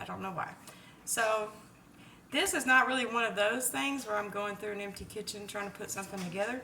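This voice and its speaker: A woman's very fast speech with ordinary pitch variation, audible room echo and noticeable background noise. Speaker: home cook vlogger. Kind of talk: cooking tutorial. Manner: casual, chatty.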